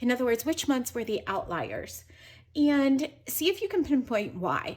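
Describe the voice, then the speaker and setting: A high-pitched woman speaks at a fairly slow pace with very wide pitch swings. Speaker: personal finance youtuber. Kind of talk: tutorial.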